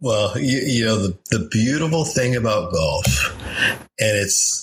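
A man's raspy, put-on character voice, medium in pitch, with lively intonation and a very slow pace. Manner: reverent, dreamy.

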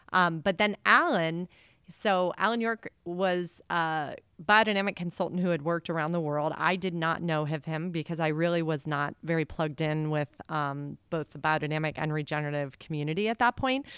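In a very clean recording with a silent background and a dry, close sound with no echo, a woman with an American accent and a plain, everyday voice speaks at a moderate pace, her pitch fairly low and ordinary in variation. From US South, Atlanta. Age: 40s. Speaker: farmer. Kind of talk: casual chat. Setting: at a table on a farm.

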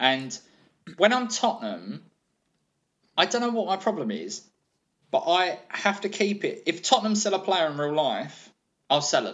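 Pausing long and often, a man with a high pitch and lively intonation keeps a moderate pace. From southeast London, England. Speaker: comedian. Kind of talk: casual chat.

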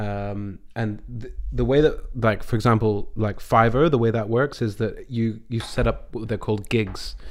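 Slowly, at a fairly unhurried pace, a man speaks with a Scottish accent. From Scotland. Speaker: voice actor. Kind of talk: casual chat.

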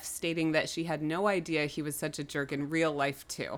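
On a very clean recording with a silent background, a woman speaks fairly quickly in an ordinary speaking voice at a fairly low pitch. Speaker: podcast co-host. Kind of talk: casual chat.

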